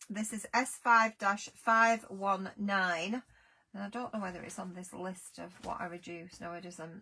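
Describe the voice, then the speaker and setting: In an English accent, the voice has a bright, sharp tone and moves at a fairly slow pace. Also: woman. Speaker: craft product seller. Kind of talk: live sales stream.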